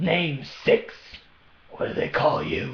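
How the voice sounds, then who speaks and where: A man in a put-on character voice, gruff, raspy and hoarse, with a slight echo. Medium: read story. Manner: mocking, sly.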